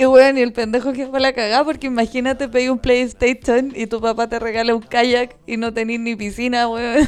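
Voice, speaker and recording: A woman with a Chilean accent and a high pitch, at a fairly quick pace, with music in the background. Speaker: podcast co-host. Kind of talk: casual chat. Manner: animated.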